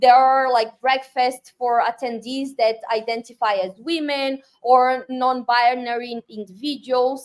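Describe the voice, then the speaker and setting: Monotone, flat intonation marks this fairly slow delivery with hardly any pauses. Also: woman, high pitch for a woman. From Brazil. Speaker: tech community leader. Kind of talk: interview conversation.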